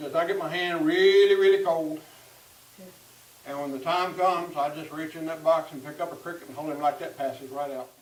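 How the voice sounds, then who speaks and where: In a Southern US accent, a man with a fairly high voice talks fairly quickly with fairly even intonation and big swings in loudness, against noticeable background noise. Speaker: storyteller. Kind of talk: tall tale storytelling. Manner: humorous, folksy.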